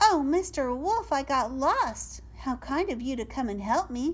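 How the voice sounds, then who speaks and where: In a put-on character voice, the speaker projects a raised, high-pitched voice at a moderate pace. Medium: read story. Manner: sweet, polite.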